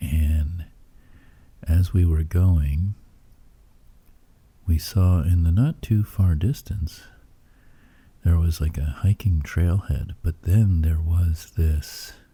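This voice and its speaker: A man with a very deep, low pitch and a dark, mellow, somewhat breathy tone speaks very slowly with long, frequent pauses, fairly even intonation and very even loudness. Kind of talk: sleep story. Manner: monotone; soft-spoken, slow.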